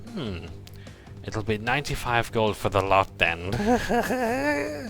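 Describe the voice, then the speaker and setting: Putting on a character voice, a man speaks at a very slow pace with lively intonation over clear music in the background. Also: medium pitch for a man. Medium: actual play. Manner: pushy salesy.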